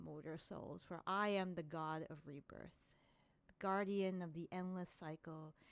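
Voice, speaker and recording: A woman performs in a put-on character voice. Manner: grandiose, solemn.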